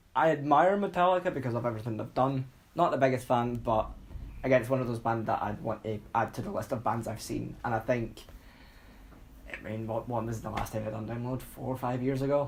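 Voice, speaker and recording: A man with a Scottish accent talks at a fairly quick pace and a medium pitch. His voice is somewhat breathy, with ordinary pitch variation. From Scotland. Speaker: podcast co-host. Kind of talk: casual chat. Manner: animated.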